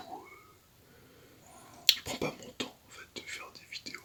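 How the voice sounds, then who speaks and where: The voice is a whisper. Background noise is noticeable throughout. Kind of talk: ASMR whisper / soft-spoken talk. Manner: whispered, soft-spoken; calm, hesitant.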